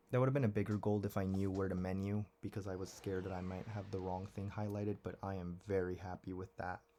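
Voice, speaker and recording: Quiet and very fast with hardly any pauses, a man speaks in a dark, mellow tone at a fairly low pitch, his intonation monotone and flat. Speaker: video game speedrunner streamer. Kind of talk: live gameplay stream commentary. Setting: at home. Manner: quiet, talking quietly.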